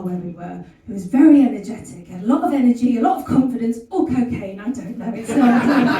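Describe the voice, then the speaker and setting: A woman speaks at a fairly quick pace in a high pitch with lively intonation. Noticeable background noise and audible room echo are present. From West Country, England. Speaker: stand-up comedian. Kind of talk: stand-up. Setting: stage with audience.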